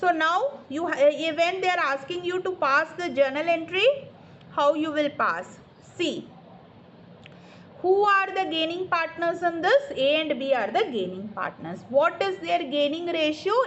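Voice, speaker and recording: A woman's extremely high-pitched voice, fairly slow in pace, with lively intonation. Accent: Indian. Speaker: accountancy tutor. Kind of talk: online tutoring lesson. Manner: explanatory, repetitive.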